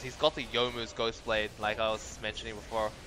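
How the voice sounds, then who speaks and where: A man of medium pitch talks at a fairly quick pace over noticeable background noise. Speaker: esports caster. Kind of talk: live commentary. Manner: animated.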